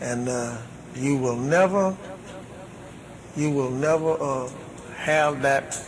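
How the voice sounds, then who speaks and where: Through audible room echo and noticeable background noise, a man at medium pitch talks at a very slow pace with fairly even intonation. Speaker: religious minister. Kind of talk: question and answer session. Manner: halting.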